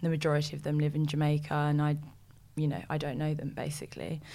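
In a London accent, a woman speaks with a very deep, low pitch. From West London, England. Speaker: presenter and actress. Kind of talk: interview.

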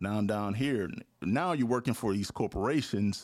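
A man with an American accent has an unremarkable speaking voice and medium pitch. He speaks at a moderate pace with lively intonation. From Louisiana, US South. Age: 40s. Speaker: TV news director. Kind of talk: casual interview.

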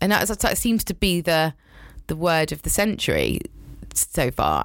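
Speaking with a British accent, a woman sounds animated in a very clean recording with a silent background. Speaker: communications director. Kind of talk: casual interview chat. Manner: animated, laughs a lot.

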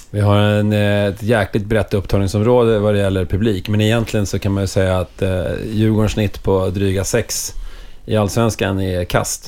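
Speaking at a moderate pace with very even loudness, the man has a fairly low pitch and monotone, flat intonation. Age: 40s. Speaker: hockey club supporter. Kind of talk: casual chat.

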